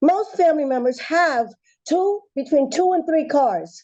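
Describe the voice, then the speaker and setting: Lively intonation marks this woman's high-pitched voice, in a New Jersey accent. Her tone is dark and mellow. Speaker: public commenter at planning board. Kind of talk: public comment. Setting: public meeting. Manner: fast; animated.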